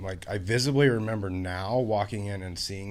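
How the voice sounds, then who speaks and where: This man speaks in a Pacific Northwest accent. His pace is moderate and his pitch varies in an ordinary way. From Washington state, US. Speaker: person in addiction recovery. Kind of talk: interview testimony. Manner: many fillers, hesitant.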